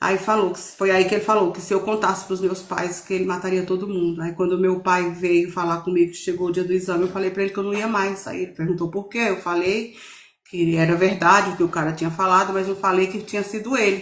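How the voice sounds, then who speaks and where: Amid noticeable background noise, a woman speaks at a very fast pace with hardly any pauses, at a medium pitch with monotone, flat intonation. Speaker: testimony guest. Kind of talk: testimony. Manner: halting.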